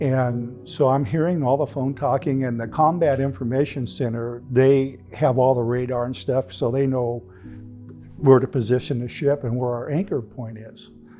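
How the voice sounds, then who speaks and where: A man's medium-pitched voice with fairly even intonation over music in the background. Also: moderate pace. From California. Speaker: retired firefighter and navy veteran. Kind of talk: life story interview. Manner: casual, conversational.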